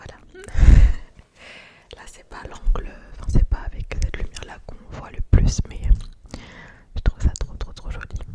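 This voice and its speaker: A woman is whispering, with long, frequent pauses. Noticeable background noise is present. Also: moderate pace, big swings in loudness. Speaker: ASMR creator. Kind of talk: ASMR whispered chat. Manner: whispered.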